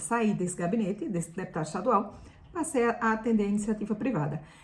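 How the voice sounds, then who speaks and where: Her voice is a plain, everyday voice. She talks fairly quickly, and her pitch varies in an ordinary way. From Brazil, Pernambuco interior. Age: 50s. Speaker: lifestyle youtuber, former journalist. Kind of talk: personal vlog storytelling.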